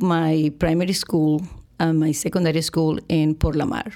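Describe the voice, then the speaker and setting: With a Spanish accent, a woman speaks at a fairly slow pace. Her voice sits fairly low and has ordinary pitch variation. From Venezuela, Margarita Island. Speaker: higher education administrator. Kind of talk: interview.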